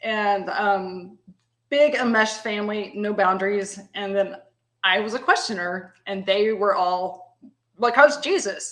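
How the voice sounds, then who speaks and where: A woman with a Texan accent at a medium pitch, ordinary pitch variation and a fairly slow pace. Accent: Texan Southern. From US South, East Texas (Tyler). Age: 50s. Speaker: guest. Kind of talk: casual chat. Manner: halting, many fillers.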